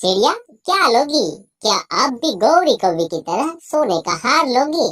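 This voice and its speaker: A cartoonish character voice, fairly high in pitch, swings very widely up and down. It moves at a fairly slow pace. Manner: wise, kindly.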